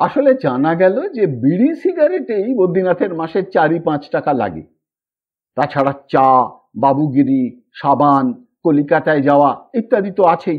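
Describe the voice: A man's fairly high voice with a slightly husky edge, lively intonation and a moderate pace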